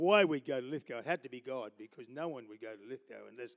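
A man speaks at a fairly quick pace with an Australian accent. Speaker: preacher. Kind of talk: sermon. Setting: church. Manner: animated.

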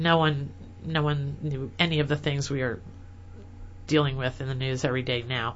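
The words come at a measured pace, spoken with an American accent. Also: woman. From US Midwest, rural Illinois. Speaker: dentist and online publisher. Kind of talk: interview.

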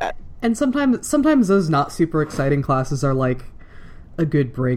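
Background noise is noticeable throughout. Delivery holds a moderate pace. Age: 20s. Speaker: podcast host, student. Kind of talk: casual chat.

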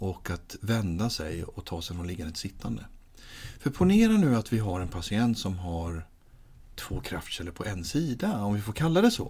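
This man's voice is fairly low and somewhat breathy. His intonation is lively. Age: 30s. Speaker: physiotherapist and patient-handling trainer. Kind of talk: interview.

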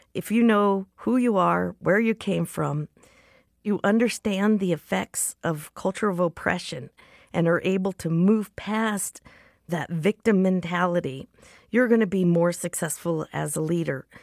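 A woman with an American accent speaks at a fairly low pitch and a fairly slow pace, in an ordinary speaking voice with ordinary pitch variation. The recording is very clean, with a silent background and a dry, close sound with no echo. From US, Comanche Nation. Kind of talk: interview monologue.

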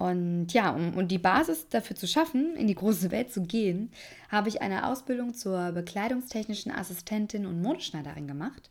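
An ordinary speaking voice, a woman's at medium pitch, moves at a moderate pace with lively intonation in a very clean recording with a silent background. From Germany, Aschaffenburg area (Lower Franconia). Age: 20s. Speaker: podcast host. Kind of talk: casual monologue, podcast intro.

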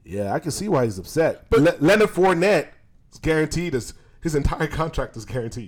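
A man talks at a fairly quick pace in a fairly high voice with vocal fry, very wide pitch swings and big swings in loudness. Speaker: podcast co-host. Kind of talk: casual banter podcast.

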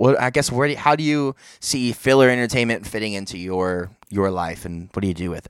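A man with a normal speaking voice talks at a fairly quick pace and a fairly low pitch, with hardly any pauses. His intonation is lively and his loudness swings widely. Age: young. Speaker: podcast host. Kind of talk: casual chat.

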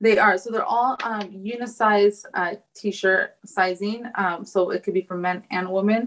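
With an American accent, a woman talks at a medium pitch in an unremarkable speaking voice, her intonation fairly even. Her pace is fairly slow, with hardly any pauses. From United States. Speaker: fashion designer. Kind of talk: casual interview.

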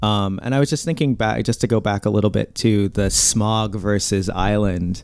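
A normal speaking voice from a man with an American accent, fairly low in pitch, with ordinary pitch variation, very even loudness and a moderate pace. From US Midwest, Indiana. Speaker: podcast co-host. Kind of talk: interview.

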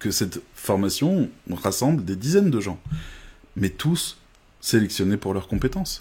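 A man speaks in a fairly low voice with a dark, mellow tone, somewhat breathy and with lively intonation. His pace is fairly slow with long, frequent pauses, on a very clean recording with a silent background. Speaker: online course creator. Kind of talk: live stream sales pitch. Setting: live video stream. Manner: hesitant, many fillers.

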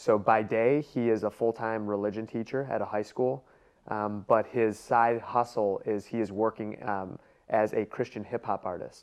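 This man has an American accent and a medium pitch. He talks at a moderate pace with fairly even intonation. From US Midwest, Cleveland, Ohio. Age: 30s. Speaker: sales expert and entrepreneur. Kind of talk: interview.

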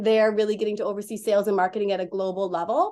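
An American-accented woman uses an ordinary speaking voice with fairly high pitch. Her intonation is fairly even, and the background is quiet. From Wisconsin. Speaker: construction management business owner. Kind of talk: podcast interview.

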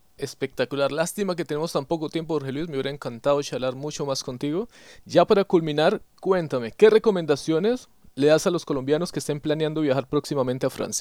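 A man talks at a very fast pace and a fairly high pitch with ordinary pitch variation, on a very clean recording with a silent background. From Colombia, Yopal, Casanare (llanos region). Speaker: podcast host. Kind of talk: interview.

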